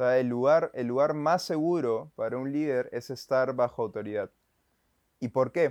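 Speaking with a Peruvian accent at a moderate pace, a man with a medium pitch and ordinary pitch variation is heard in a dry, close sound with no echo against a quiet background. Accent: Peruvian Spanish (Lima). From Peru, Lima. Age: 20s. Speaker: photographer and church video volunteer. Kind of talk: casual interview.

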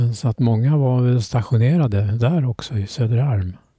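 The voice is somewhat breathy with a dark, mellow tone, moving at a fairly slow pace with ordinary pitch variation. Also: man. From Stockholm archipelago, summers since childhood. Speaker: islander interviewee. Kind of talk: casual interview chat. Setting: outdoors on a terrace. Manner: halting, with repetitions.

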